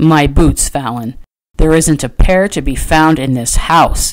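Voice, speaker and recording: A put-on character voice, growling at a middle pitch and a fairly slow pace. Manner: growling, demanding.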